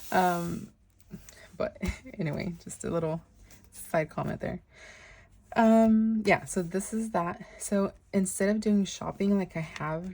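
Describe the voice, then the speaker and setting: Speaking slowly with long, frequent pauses, a woman has a medium-pitched, somewhat breathy voice with a dark, mellow tone and fairly even intonation. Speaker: planner youtuber. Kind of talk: planner flip-through tutorial. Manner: hesitant, many fillers.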